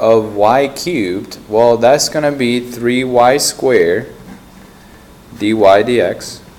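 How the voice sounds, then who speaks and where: Very slow male speech at a medium pitch with ordinary pitch variation, amid noticeable background noise. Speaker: math teacher. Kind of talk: tutorial. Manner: loud; soft-spoken.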